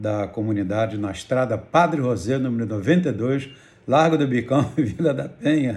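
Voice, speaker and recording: A man with a medium pitch sounds somewhat breathy, speaking at a moderate pace with ordinary pitch variation. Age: 70s. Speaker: pastor. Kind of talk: testimony.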